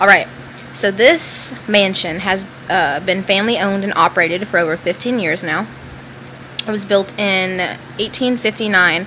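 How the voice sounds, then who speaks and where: With noticeable background noise behind her, a woman speaks in a Southern US accent. Her pitch is medium, with ordinary variation, and her pace is fairly slow. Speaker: podcast co-host. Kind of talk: reading ghost stories aloud.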